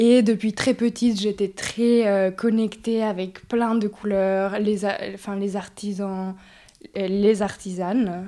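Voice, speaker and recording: The recording is very clean, with a silent background. A woman with a dark, mellow tone speaks at a very slow pace in a monotone, flat intonation. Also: medium pitch for a woman. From Mexico (Mexico City, Oaxaca). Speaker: breathwork facilitator. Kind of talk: interview.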